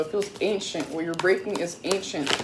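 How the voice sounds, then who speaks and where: There is noticeable background noise as a woman with an American accent speaks at a fairly quick pace. Her pitch is medium and her intonation fairly even. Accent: Caribbean accent coming out more. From Florida, US, Caribbean background. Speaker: tarot reader. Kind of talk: tarot reading. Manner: casual, chatty.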